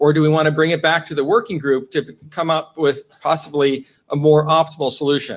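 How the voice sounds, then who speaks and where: A man speaking at a moderate pace. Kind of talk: meeting status report. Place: meeting room.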